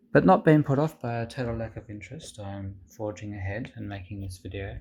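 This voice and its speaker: Talking at a fairly quick pace, a man with a fairly low pitch sounds somewhat breathy, with big swings in loudness and ordinary pitch variation. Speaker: tech reviewer. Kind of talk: product review with comedy skit.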